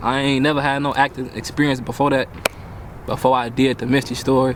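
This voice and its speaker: Over noticeable background noise, a man talks at a very fast pace in a monotone, flat intonation with very even loudness. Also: medium pitch for a man. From Chicago. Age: 20s. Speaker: young actor. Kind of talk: casual interview. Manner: casual, slangy.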